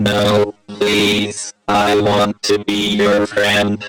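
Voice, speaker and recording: A man puts on a character voice at a fairly low pitch, with monotone, flat intonation. He speaks at a very slow pace while faint music plays in the background. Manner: pleading, wanting friendship.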